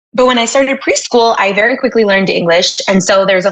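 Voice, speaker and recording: Her voice fairly high in pitch, a woman with an American accent speaks with lively intonation in an unremarkable speaking voice. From Miami, Florida. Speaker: tech executive and podcast host. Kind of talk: interview conversation. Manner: casual, filler-heavy.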